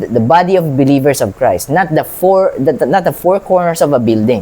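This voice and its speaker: A man's dark, mellow voice, high in pitch, at a moderate pace with lively intonation. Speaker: Bible reader and lay preacher. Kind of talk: Bible reading with commentary. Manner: halting, many restarts; code-switching Tagalog and English.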